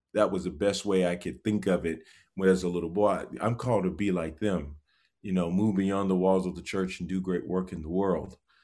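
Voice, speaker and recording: Dark, mellow tone with fairly even intonation on a very clean recording with a silent background. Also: man, very deep, low pitch for a man. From US South, Georgia. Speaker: preacher and professor. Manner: halting, with frequent fillers.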